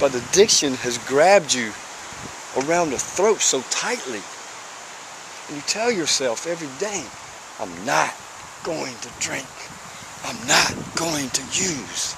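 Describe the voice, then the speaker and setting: A man with a Southern US accent speaks fairly slowly and fairly high, his pitch swinging very widely and his loudness shifting a lot, with long, frequent pauses, audible room echo and noticeable background noise. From US South, small town. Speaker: person in addiction recovery. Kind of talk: personal testimony vlog. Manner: repetitive, halting at times.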